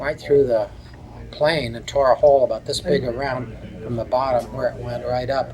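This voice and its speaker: With a Midwestern American accent, the voice swings a lot in loudness against noticeable background noise. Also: man, moderate pace. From Cleveland, Ohio. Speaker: war veteran. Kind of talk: interview answer. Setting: reunion event.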